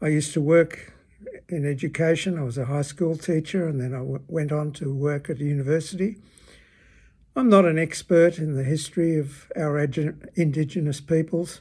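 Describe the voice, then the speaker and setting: With an Australian accent, a man speaks at a moderate pace in a fairly high, dark, mellow voice with fairly even intonation, on a very clean recording with a silent background. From Australia, Melbourne. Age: 80s+. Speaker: retired teacher. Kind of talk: personal opinion talk.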